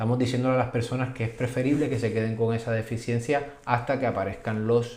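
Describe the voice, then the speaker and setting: With audible room echo around him, a man speaks at a fairly quick pace in a somewhat breathy, medium-pitched voice with fairly even intonation. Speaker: physician. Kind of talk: video explainer. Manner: halting, repetitive fillers.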